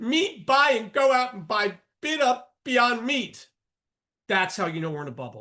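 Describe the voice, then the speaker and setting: A man speaks in a raised, projected voice at an extremely high pitch, with very wide pitch swings and a bright, sharp tone. His delivery is animated and fairly slow. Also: big swings in loudness. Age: 60s. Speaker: trading educator and professor. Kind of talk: live trading show monologue. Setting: live broadcast.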